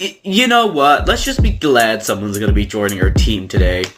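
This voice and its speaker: Raspy and put-on, a man's character voice moves at a moderate pace. Faint music plays in the background. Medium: comedy sketch.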